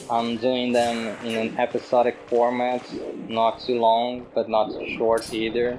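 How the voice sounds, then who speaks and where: Over noticeable background noise, a speaker with a non-native accent talks at a fairly slow pace in a monotone, flat intonation. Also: man. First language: not English. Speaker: video essayist. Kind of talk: monologue reflection.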